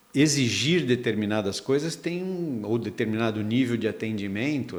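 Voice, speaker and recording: The speaker has lively intonation and talks at a fairly slow pace. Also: man. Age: 60s. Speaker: workplace management commentator. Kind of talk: casual chat. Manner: hesitant, many fillers.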